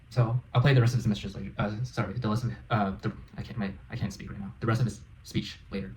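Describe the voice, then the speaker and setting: At a very fast pace, a man with an American accent speaks at a fairly low pitch with vocal fry, big swings in loudness and ordinary pitch variation. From United States. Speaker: reaction video host. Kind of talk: reaction commentary. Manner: halting.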